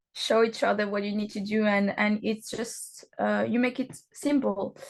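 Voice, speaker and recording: A woman is speaking. The background is quiet. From France. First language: not English; English is her third language. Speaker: professional wrestler. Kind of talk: interview. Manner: halting, many fillers.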